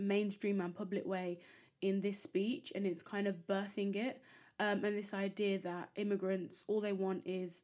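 Every line is read aloud in an unforced voice.

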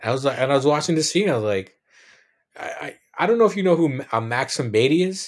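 At a very fast pace, a man speaks with very wide pitch swings. The recording is very clean, with a silent background. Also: fairly high pitch for a man. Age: 30s. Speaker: podcast host. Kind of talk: casual interview chat. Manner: animated, laughs often.

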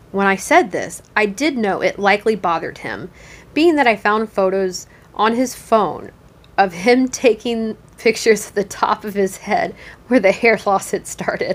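This woman's voice sits fairly high, with ordinary pitch variation and a moderate pace. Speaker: podcast host. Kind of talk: reading aloud Reddit posts with casual commentary. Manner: casual, somewhat halting with fillers.

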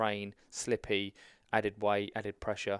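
A man speaks fairly low in a southern English accent. The sound is dry and close with no echo, on a very clean recording with a silent background. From southern England (Hampshire). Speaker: army veteran. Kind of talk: casual chat.

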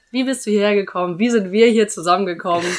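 Here a woman speaks at a medium pitch with ordinary pitch variation. Her tone is animated and her pace fairly quick. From northern Germany, near Husum. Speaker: student podcast co-host. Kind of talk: casual chat. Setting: studio. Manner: animated, laughs often.

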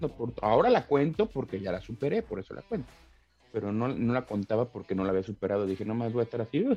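A man talks at a very fast pace with a medium pitch, a dark, mellow tone and ordinary pitch variation. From Mexico, Tlalnepantla (State of Mexico). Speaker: MMA fighter. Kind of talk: casual interview. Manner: casual, slangy.

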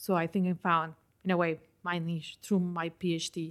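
The recording is very clean, with a silent background. A woman with a Spanish accent speaks at a fairly low pitch. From Colombia. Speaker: environmental health researcher. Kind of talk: interview.

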